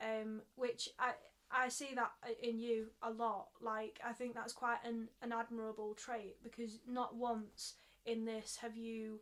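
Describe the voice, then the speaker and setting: The delivery is fairly slow, with a monotone, flat intonation. It comes in a Mancunian accent. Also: woman, fairly high pitch for a woman. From Manchester, England. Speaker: theatre director and actor. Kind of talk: casual podcast chat.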